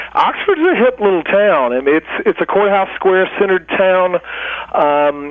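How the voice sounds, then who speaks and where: Speaking in a strong Southern US accent, a man uses a high pitch and lively intonation at a moderate pace, his loudness very even. Noticeable background noise runs underneath. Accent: Southern US, heavy. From US South, middle Georgia. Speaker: food writer and nonprofit director. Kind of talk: interview.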